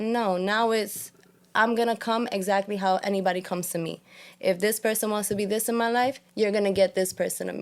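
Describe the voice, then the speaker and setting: Talking at a fairly quick pace, a woman with a New York accent keeps a medium pitch. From New York, Puerto Rican family. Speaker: podcast host. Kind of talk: casual chat. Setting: studio. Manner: animated.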